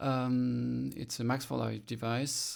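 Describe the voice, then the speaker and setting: Here a man speaks in a French accent. The recording is very clean, with a silent background. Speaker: electronic musician demoing software. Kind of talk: tutorial. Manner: halting, many fillers.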